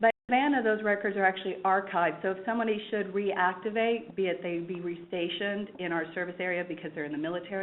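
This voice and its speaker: A woman speaks in a Kansas accent at a very fast pace. Her pitch is medium, with ordinary variation. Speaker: library staff member. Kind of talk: webinar presentation. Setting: online webinar.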